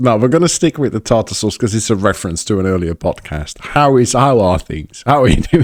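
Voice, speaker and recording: Delivered fairly quickly with hardly any pauses, this voice with an English accent swings very widely in pitch. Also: man, medium pitch for a man. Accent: English accent, learned in England. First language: Dutch. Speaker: podcast host. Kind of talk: casual chat. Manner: halting, many fillers and restarts.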